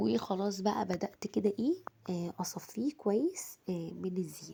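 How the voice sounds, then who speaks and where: A woman speaks fairly slowly in a dark, mellow, somewhat breathy voice at a medium pitch. Her intonation is lively. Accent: Egyptian. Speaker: home cooking vlogger. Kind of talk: cooking tutorial. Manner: casual, chatty.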